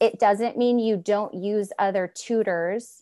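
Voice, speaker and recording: A woman with an American accent, very slow, with a dark, mellow tone and fairly even intonation over a quiet background. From Northern California. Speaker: homeschooling mother and advocate. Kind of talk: casual interview conversation. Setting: remote call from Washington state.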